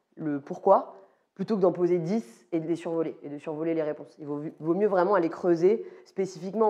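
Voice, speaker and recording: Fairly low pitch from a woman, dark and mellow in tone. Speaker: product manager giving a talk. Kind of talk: live talk to audience. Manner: fast.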